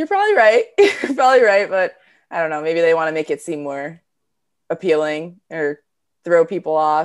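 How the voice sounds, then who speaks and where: This woman has a plain, everyday voice and an American accent, pitched fairly low. She talks at a moderate pace with ordinary pitch variation. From New Jersey, US. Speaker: professional hockey player and coach. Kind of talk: interview.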